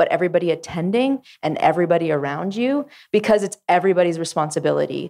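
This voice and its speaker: Against a quiet background, a plain, everyday voice with a Canadian accent moves at a fairly quick pace with lively intonation. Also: woman. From Ottawa Valley, Ontario, Canada. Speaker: music industry executive. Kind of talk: panel discussion. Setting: stage with live audience.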